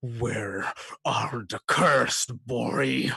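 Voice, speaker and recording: This put-on character voice is loud, raspy and growling. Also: man, medium pitch for a man. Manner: accusing, threatening.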